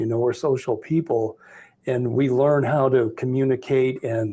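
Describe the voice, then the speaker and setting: A man of medium pitch, somewhat breathy, with a dark, mellow tone, monotone, flat intonation and a moderate pace. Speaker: Medicare sales agent. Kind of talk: casual group discussion.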